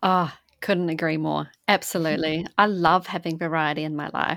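In a very clean recording with a silent background, a woman with an unremarkable speaking voice talks at a moderate pace in a fairly low pitch with fairly even intonation. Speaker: podcast host. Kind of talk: interview.

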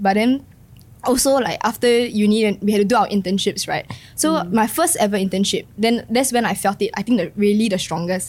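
With music in the background, a woman in a Singaporean accent talks at a fairly quick pace. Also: fairly high pitch for a woman, ordinary pitch variation. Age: 20s. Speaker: non-profit worker. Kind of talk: casual chat.

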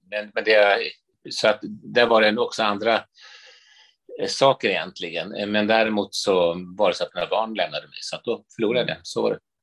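Long, frequent pauses at a moderate pace, dry and close with no echo, over a quiet background. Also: man. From Sweden, Stockholm from age eight. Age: 60s. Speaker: priest and author. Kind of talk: interview conversation.

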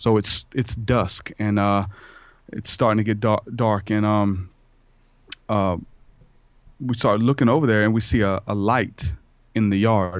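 With a Louisiana accent, a man talks at a moderate pace in a fairly low voice with fairly even intonation. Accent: US Southern (Louisiana). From southeastern Louisiana. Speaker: hip-hop artist and podcaster. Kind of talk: interview conversation.

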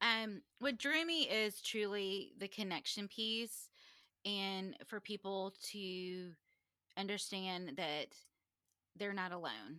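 A woman with an American accent, a normal speaking voice, medium pitch and ordinary pitch variation, on a very clean recording with a silent background. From US South, Charleston, South Carolina. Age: 40s. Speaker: NICU nurse starting a podcast. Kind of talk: casual interview.

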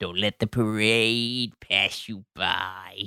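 A man's gravelly, put-on character voice at a medium pitch, monotone and flat at a very slow pace, with a dry, close sound with no echo and a very clean recording, silent background. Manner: weird, put-on.

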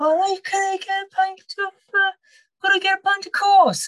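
A put-on character voice, extremely high in pitch, at a fairly slow pace.

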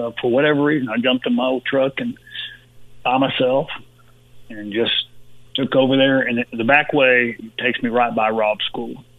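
In a Texan accent, a man at medium pitch speaks with monotone, flat intonation at a moderate pace, leaving long, frequent pauses. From Texas (Uvalde). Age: 60s. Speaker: former pro football player. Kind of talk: interview. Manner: halting, many fillers.

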